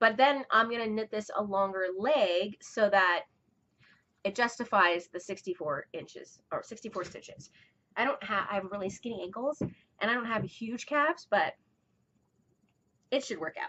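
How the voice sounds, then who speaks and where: Mumbling at a moderate pace, a woman with a fairly high pitch uses lively intonation, big swings in loudness, and long, frequent pauses. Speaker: fiber arts podcaster. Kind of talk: casual chat. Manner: halting.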